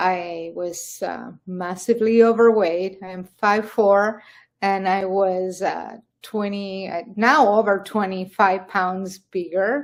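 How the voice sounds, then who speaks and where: A woman with an Argentine accent, medium pitch, very slow pace, fairly even intonation and big swings in loudness. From Argentina. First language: Spanish. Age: 60s. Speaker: carnivore diet success story guest. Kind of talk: interview testimony. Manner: halting.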